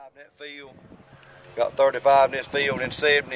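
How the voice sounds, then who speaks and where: Over noticeable background noise, a man with an eastern North Carolina accent talks fairly quickly at a fairly high pitch. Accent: Southern US, eastern North Carolina. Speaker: tobacco farmer. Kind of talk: interview answer. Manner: casual, emphatic.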